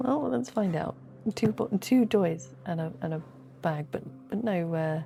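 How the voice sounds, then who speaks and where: A soft-spoken woman's voice, fairly low in pitch, with lively intonation and a fairly slow pace. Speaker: gaming youtuber. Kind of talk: sleepy gameplay commentary.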